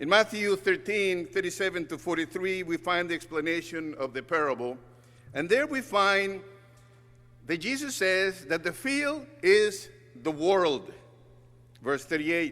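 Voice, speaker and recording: Speaking in a Spanish accent, this voice has a bright, sharp tone and lively intonation. The pace is fairly slow, with long, frequent pauses. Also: man, high pitch for a man. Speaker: guest preacher, church communication director. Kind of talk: sermon.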